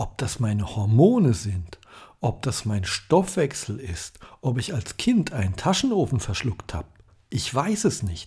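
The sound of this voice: Speaking at a fairly slow pace, a man has a medium pitch with big pitch swings. His dark, mellow tone is raspy, with a husky, rough edge.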